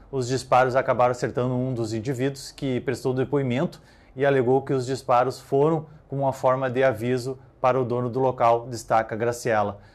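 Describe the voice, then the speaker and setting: In a flat monotone, a man talks at a fairly quick pace. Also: medium pitch for a man. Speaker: police news reporter. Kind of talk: newsreading. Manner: formal, measured, neutral tone. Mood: neutral, serious. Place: studio. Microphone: lapel.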